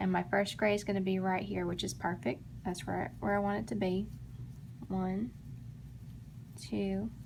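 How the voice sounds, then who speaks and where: Long, frequent pauses break up a woman's speech at a moderate pace, in an American accent, with audible room echo. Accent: Texan, comes and goes. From Texas, Dallas. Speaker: crochet tutorial maker. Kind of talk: tutorial. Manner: casual, chatty.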